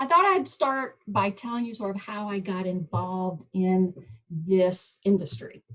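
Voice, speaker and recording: A woman speaks at a medium pitch with ordinary pitch variation and a slight Southern accent. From US South, Mississippi. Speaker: professor. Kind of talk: presentation. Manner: casual, halting.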